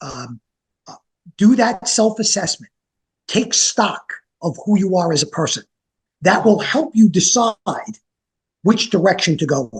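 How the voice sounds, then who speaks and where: A man with a New York accent speaks at a high pitch and a fairly slow pace, with lively intonation, big swings in loudness and long, frequent pauses, in a dry, close sound with no echo. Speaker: franchise business consultant. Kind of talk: interview.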